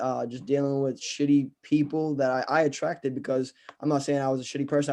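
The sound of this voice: A man with a dark, mellow tone talks fast at a medium pitch.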